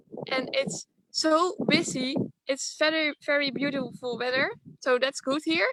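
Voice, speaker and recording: Lively in intonation and high in pitch, a woman speaks fairly slowly with a Dutch accent. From Netherlands. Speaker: dairy farmer's child running an ice cream business. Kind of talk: video interview. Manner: halting, searching for words.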